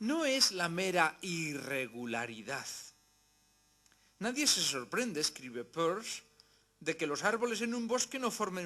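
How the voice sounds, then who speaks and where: Pitched high with a bright, sharp tone, a man speaks in a Spanish accent, his pitch swinging very widely. He goes fairly slowly, with long, frequent pauses. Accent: Spanish (Spain). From Spain. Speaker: philosophy lecturer. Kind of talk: lecture. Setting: university hall with audience.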